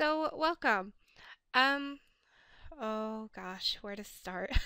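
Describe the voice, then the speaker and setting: A raised, projected voice at a very slow pace with very wide pitch swings. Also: woman. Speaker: artist. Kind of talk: casual art tutorial narration.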